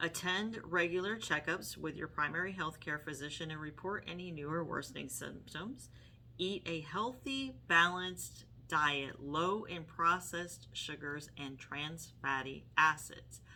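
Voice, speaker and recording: Showing big swings in loudness, a woman with a very deep, low voice, a bright, sharp tone and vocal fry talks at a fairly slow pace with ordinary pitch variation. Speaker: health vlogger. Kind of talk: casual talk to camera. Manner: halting, with fillers.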